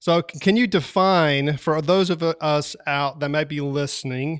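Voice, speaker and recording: Speaking at a fairly slow pace, a man with a Southern US accent has a fairly high pitch. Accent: Southern drawl. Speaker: podcast host.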